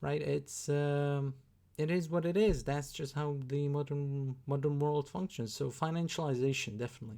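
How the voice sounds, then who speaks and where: A man with a Slovak accent speaks at a fairly high pitch in a dark, mellow tone. His intonation is fairly even and his pace moderate, in a very clean recording with a silent background. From Slovakia. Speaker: YouTuber reacting to videos. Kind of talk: reaction commentary. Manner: halting, many fillers.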